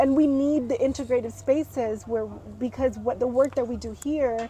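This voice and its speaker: At a fairly slow pace, the speech comes through noticeable background noise. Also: woman. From US, Mexican-American household with Mexico summers. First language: Spanish. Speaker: wellness event content creator. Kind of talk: casual conversation. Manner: hesitant, with repetitions.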